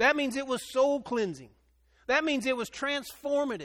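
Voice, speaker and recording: The voice is loud, with a bright, sharp tone. It sounds animated and moves at a moderate pace. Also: man. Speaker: pastor. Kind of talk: sermon. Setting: church with congregation. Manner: loud, animated.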